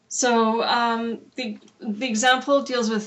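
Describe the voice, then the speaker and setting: The speaker is a woman with a fairly high pitch. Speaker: university instructor. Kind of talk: lecture. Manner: casual, halting with fillers.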